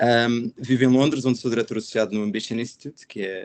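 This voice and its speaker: A man speaks in a normal speaking voice. His pace is fairly quick. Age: 30s. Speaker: education nonprofit director. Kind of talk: webinar panel discussion.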